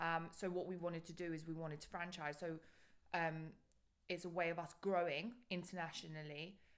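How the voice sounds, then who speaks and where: Speaking fairly quickly with a London accent, a woman uses a fairly low pitch and monotone, flat intonation amid audible room echo. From London, England (moved from Bulgaria at five). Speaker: business founder and CEO. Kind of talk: podcast interview.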